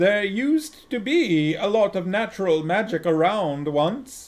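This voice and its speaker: Putting on a character voice, a man speaks loudly at a high pitch. His pace is fairly slow. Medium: read story. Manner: loud, brisk, hearty.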